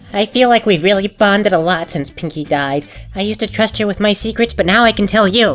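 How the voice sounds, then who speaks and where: A cartoonish character voice moves at a fairly quick pace. Faint music plays in the background. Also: female-sounding voice, medium pitch for a woman. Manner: stammering, hesitant.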